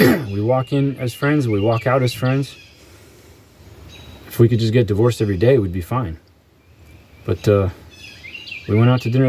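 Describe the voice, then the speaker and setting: At a fairly quick pace broken by long, frequent pauses, a man speaks at medium pitch with ordinary pitch variation over noticeable background noise. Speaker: vlogger. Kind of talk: personal monologue. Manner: halting.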